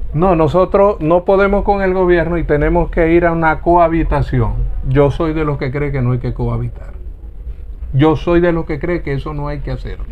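Against noticeable background noise, a man talks at a fairly high pitch with fairly even intonation. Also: moderate pace. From Venezuela, Zulia (Lagunillas). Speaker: politician. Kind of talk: heated debate.

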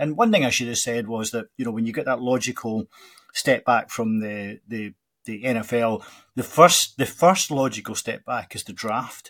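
A man with a Scottish accent speaks at a moderate pace and medium pitch, with ordinary pitch variation. The recording is very clean, with a silent background. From Scotland, Glasgow. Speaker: college football podcast host. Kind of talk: casual interview chat. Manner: halting, many fillers and repetitions.

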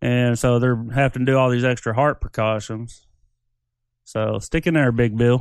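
Moderate pace and fairly even intonation from a man at a medium pitch, against a quiet background. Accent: slight Southern US. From US South. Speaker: podcast co-host. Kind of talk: casual chat.

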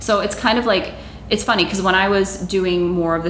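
A woman's fairly low voice with an American accent, amid noticeable background noise and audible room echo. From Massachusetts. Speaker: music marketing business owner. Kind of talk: interview.

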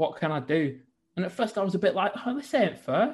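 A man with a northern English accent speaks at a high pitch. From northern England. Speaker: businessman. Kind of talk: interview.

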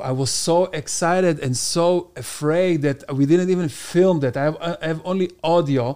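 With an Israeli accent, a man speaks in a high voice at a moderate pace. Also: ordinary pitch variation. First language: Hebrew. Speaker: stand-up comedian. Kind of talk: casual chat.

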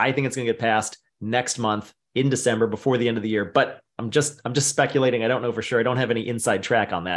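A man speaks in a normal speaking voice at a medium pitch. His intonation stays fairly even. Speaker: webinar host. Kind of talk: live Q&A webinar moderation. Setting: online webinar. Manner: brisk, rapid-fire.

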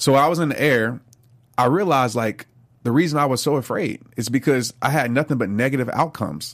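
With an American accent, a man at medium pitch speaks at a very fast pace. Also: ordinary pitch variation. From US South, New Orleans. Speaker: motivational speaker and author. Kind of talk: interview.

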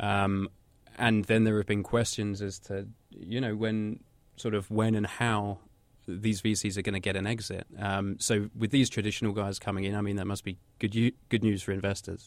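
On a very clean recording with a silent background, a man with a fairly low voice speaks at a moderate pace in a monotone, flat way. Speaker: podcast co-host. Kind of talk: interview.

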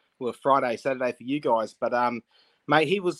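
Lively intonation runs through a man's voice with an Australian accent. The sound is dry and close with no echo. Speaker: sports podcaster. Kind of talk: casual chat. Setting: video call. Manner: animated.

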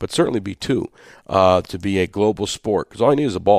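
A man talks at a moderate pace with an American accent. The sound is dry and close with no echo, on a very clean recording with a silent background. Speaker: sports team communications director and radio host. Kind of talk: casual interview. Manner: halting, many fillers and repetitions.

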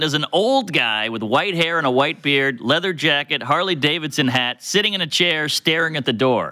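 An unremarkable speaking voice with an American accent moves at a moderate pace with ordinary pitch variation, captured in a very clean recording with a silent background. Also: man. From US South, New Orleans. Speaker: comedian. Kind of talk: casual chat, storytelling.

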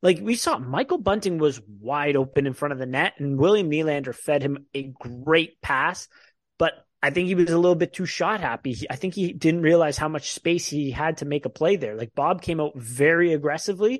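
Over a quiet background, a man talks at a fairly quick pace with a fairly high pitch in an ordinary speaking voice. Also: ordinary pitch variation. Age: 20s. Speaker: hockey podcast host. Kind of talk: casual chat.

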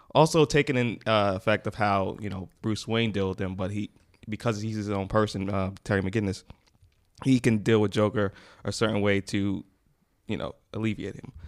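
This man has an ordinary speaking voice with an American accent, fairly low in pitch and fairly even in intonation. He talks at a moderate pace on a very clean recording with a silent background. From US, Queens, New York. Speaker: podcast guest. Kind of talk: casual chat.

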